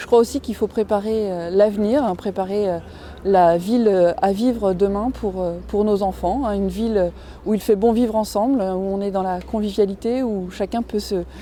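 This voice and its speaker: A woman's medium-pitched voice at a moderate pace. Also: fairly even intonation. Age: 40s. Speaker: local councillor. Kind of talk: campaign statement. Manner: hesitant, many fillers.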